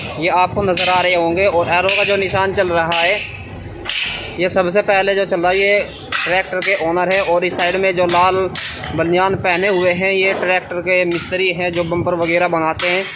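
Noticeable background noise is present throughout. The talking proceeds at a moderate pace. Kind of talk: casual vlog commentary. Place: workshop. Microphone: phone near.

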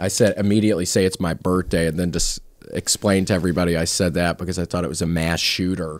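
A man talks at a very fast pace in a very deep, low voice. His intonation is monotone and flat. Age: 30s. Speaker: comedian and comedy podcast host. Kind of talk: casual chat. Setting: studio. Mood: comedic storytelling. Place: street. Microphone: studio mic.

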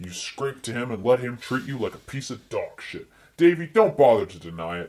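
This man talks at a medium pitch. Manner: furious, contemptuous, swearing.

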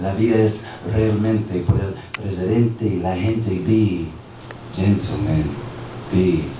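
A man speaking at a very slow pace with ordinary pitch variation, amid audible room echo and noticeable background noise. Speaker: spoken word poet. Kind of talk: spoken word poetry performance at open mic. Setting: internet cafe open mic. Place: cafe.

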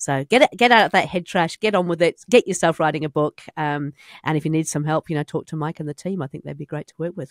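Talking at a very fast pace with hardly any pauses, a woman with a New Zealand accent has a very deep, low pitch, ordinary pitch variation and big swings in loudness, in a dry sound with no echo against a quiet background. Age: 50s. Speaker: podcast host. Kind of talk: casual interview. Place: studio. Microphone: studio mic.

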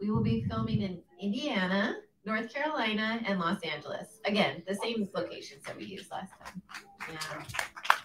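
A woman talks at a moderate pace with lively intonation and big swings in loudness, over noticeable background noise. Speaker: actor. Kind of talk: live post-screening Q&A. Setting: stage with audience in a theater. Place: hall.

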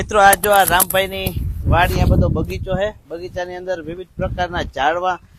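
A man speaks with a high pitch and monotone, flat intonation. Noticeable background noise runs underneath. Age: young. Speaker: village life vlogger. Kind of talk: casual vlog narration. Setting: outdoors on a farm.

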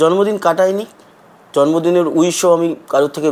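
A man talks with a fairly high pitch. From West Bengal, India. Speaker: travel vlogger. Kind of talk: personal vlog monologue.

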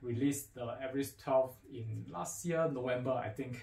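Somewhat breathy, with a dark, mellow tone, a man speaks at a fairly slow pace amid audible room echo. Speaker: audio equipment dealer presenter. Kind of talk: product unboxing talk to camera. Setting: faulty microphone. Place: studio.

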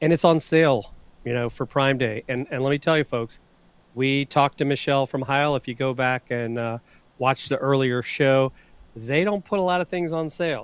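A man at a moderate pace with ordinary pitch variation, dry sound with no echo. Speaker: livestream co-host. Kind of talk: casual livestream gear talk. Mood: enthusiastic, promotional. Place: studio. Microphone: studio mic.

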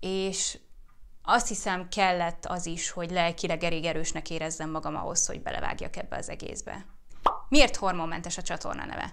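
This woman has an unremarkable speaking voice with a fairly low pitch and ordinary pitch variation. She talks at a moderate pace, with big swings in loudness. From Hungary. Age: 30s. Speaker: YouTuber and fertility awareness educator; YouTuber, fertility awareness educator. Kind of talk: casual Q&A vlog.

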